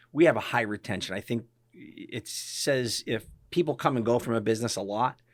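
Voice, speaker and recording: Heard on a very clean recording with a silent background, a man with a northeastern Pennsylvania accent speaks at medium pitch. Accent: northeastern Pennsylvania American. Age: 60s. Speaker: physician and practice owner. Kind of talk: interview conversation. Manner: casual, conversational with frequent fillers.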